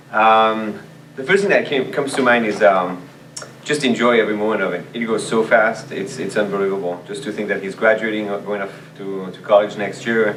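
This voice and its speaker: A man's fairly low voice with a French accent, fairly even intonation and a fairly quick pace, plus audible room echo and noticeable background noise. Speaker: language teacher and department chair. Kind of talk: interview. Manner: halting, many fillers and repeats.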